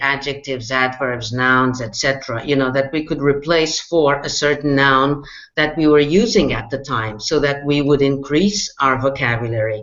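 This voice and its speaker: Someone with a non-native accent talks at a moderate pace over noticeable background noise. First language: not English. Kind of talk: casual chat.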